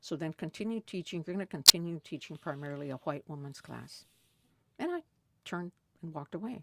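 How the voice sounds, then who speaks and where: A woman's fairly low-pitched voice with an American accent at a very fast pace, with long, frequent pauses, ordinary pitch variation, big swings in loudness and a dry, close sound with no echo. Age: 70s. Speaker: retired college professor, Chicana feminist. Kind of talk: interview answer, personal storytelling.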